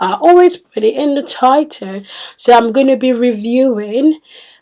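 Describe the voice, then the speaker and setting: A woman speaks loudly at a high pitch with a dark, mellow tone. Her pace is fairly slow, with ordinary pitch variation. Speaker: beauty vlogger. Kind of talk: product review vlog. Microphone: echoey sound.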